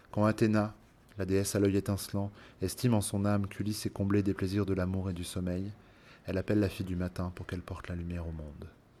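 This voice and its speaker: A man's fairly low, dark, mellow voice at a very fast pace, monotone and flat, with a solemn, dramatic tone. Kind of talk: literary audiobook reading, narrated Homeric tale. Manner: solemn, dramatic and emotional in the recognition and tears scene.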